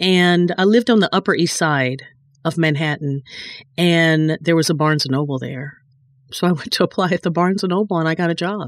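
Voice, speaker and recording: A woman talks at a fairly quick pace. Her pitch is fairly low, with ordinary variation. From North Carolina, Gastonia. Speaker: publishing executive and trained singer. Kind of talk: interview.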